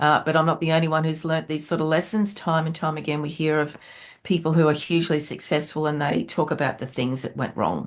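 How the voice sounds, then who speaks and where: With an Australian accent, a woman moves at a fairly quick pace. Her pitch is very deep and low, and her intonation fairly even. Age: 60s. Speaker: entrepreneur and business mentor. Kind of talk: podcast interview.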